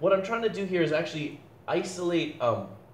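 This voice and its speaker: Amid noticeable background noise and audible room echo, a man with a high pitch talks at a fairly quick pace with lively intonation. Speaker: physics teacher. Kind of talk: lecture. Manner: fast; halting.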